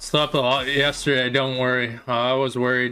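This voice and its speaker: The speech keeps a moderate pace with music in the background. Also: man. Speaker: streamer and esports caster. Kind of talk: casual livestream chat. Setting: livestream. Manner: casual, rambling with fillers.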